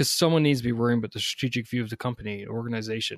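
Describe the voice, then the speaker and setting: Someone speaks with a Newfoundland accent and fairly even intonation. The recording is very clean with a silent background, and the sound is dry and close with no echo. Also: man. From Newfoundland, Canada. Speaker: army officer and leadership coach. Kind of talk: interview.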